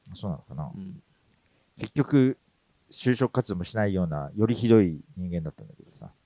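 A man with a fairly low voice and a dark, mellow tone talks at a fairly quick pace. His pitch swings very widely and his loudness swings a lot, in a dry, close sound with no echo. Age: 40s. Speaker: creative director and podcast co-host. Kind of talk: casual chat.

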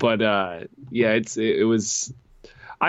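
Speaking at a fairly slow pace, a man with an American accent uses a medium pitch. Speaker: soccer podcast co-host. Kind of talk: casual chat.

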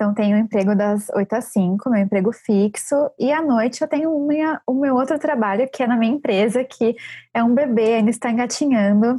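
A woman talks at a moderate pace in a fairly high pitch with a dark, mellow tone. Her loudness stays very even, and her pitch varies in an ordinary way. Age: 30s. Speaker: book editor and baker. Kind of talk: casual chat.

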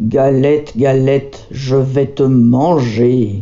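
A man uses a put-on character voice at a medium pitch. He talks at a very slow pace. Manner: growling.

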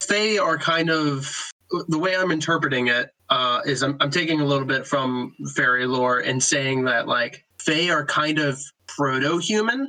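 A man's plain, everyday voice, fairly high in pitch, with ordinary pitch variation, very even loudness and a moderate pace. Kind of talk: casual chat. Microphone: laptop mic in early episodes.

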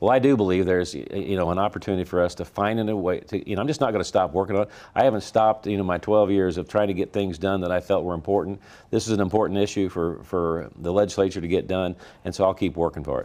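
Very fast and very deep, a man with a Missouri accent speaks in a dark, mellow tone with ordinary pitch variation, on a very clean recording with a silent background. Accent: rural Missouri Midwestern. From Missouri, rural Franklin County. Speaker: state senate leader. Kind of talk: political interview.

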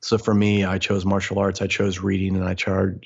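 A man speaks with an American accent, his pitch very deep and low. He holds a moderate pace with monotone, flat intonation. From US Midwest. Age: 40s. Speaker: motivational speaker and mindset coach. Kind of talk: interview conversation.

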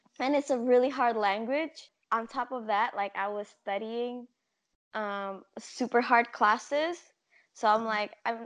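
Over a quiet background, a woman speaks at a fairly slow pace. Her voice is fairly high, with fairly even intonation. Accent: Indonesian. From Indonesia. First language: Indonesian. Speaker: podcast guest. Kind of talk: casual chat. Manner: talkative.

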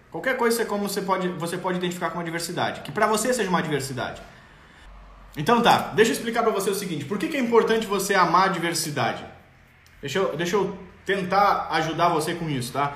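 Amid noticeable background noise and audible room echo, a man speaks very fast in a high voice with ordinary pitch variation. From southern Brazil, Rio Grande do Sul. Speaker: parenting coach. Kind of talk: live stream talk reading viewer comments. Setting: online live stream. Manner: animated.

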